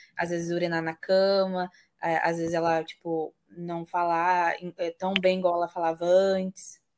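In a very clean recording with a silent background, a woman speaks slowly-ish at a fairly slow pace, with a fairly low pitch and monotone, flat intonation. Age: 20s. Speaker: podcast host. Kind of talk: interview.

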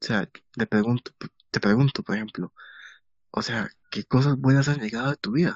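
A man at medium pitch, speaking at a moderate pace with ordinary pitch variation and long, frequent pauses. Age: 20s. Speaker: podcast host. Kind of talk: casual chat.

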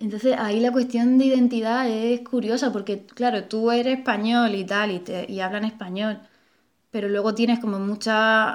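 A woman with a fairly high voice talks at a moderate pace in a flat, monotone intonation. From Melilla, Spain. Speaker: artist and bookseller. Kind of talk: casual conversation. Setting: at her home. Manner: hesitant, repeats words.

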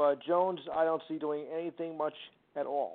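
Here a man speaks with monotone, flat intonation. His voice is high-pitched, with a New Jersey accent. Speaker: caller. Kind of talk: call-in sports talk. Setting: phone call. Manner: halting.

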